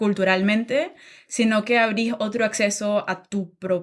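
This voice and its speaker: A woman with a Nicaraguan accent speaks at a very slow pace in a fairly high voice. The recording is very clean, with a silent background. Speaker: podcast guest. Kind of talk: interview conversation. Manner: hesitant, many fillers.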